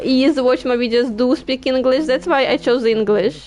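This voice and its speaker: Here a woman speaks with a Ukrainian accent. Her pitch is high, with ordinary variation. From Ukraine. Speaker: gaming streamer. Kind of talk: casual chat. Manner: halting.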